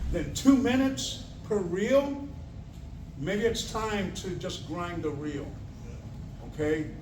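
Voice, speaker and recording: A man with a high pitch talks loudly and very slowly, with lively intonation. Noticeable background noise and audible room echo fill the recording. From Puerto Rico. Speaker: equipment technician and trainer. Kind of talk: training talk.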